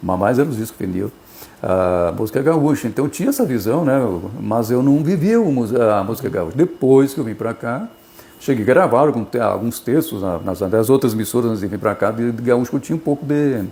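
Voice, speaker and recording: Delivery comes at a fairly quick pace. Pitch rises and falls in a lively way. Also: man, medium pitch for a man. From southern Brazil, Missões region of Rio Grande do Sul. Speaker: radio presenter. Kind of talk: interview. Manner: casual, conversational.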